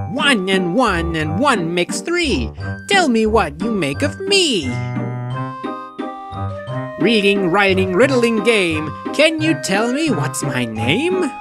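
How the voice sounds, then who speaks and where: Over loud music in the background, a man puts on a squeaky, high-pitched character voice at a fairly slow pace. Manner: playful, giggling.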